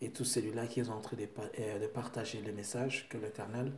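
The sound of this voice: Delivery is moderate in pace, with little pitch movement. Audible room echo surrounds the voice. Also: man.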